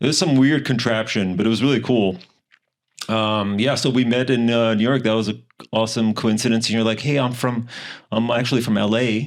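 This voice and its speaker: A man with a slight European accent speaks at a medium pitch and a fairly quick pace, with fairly even intonation and very even loudness. The recording is very clean, with a silent background. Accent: slight tinge of European. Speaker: podcast host. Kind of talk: casual chat.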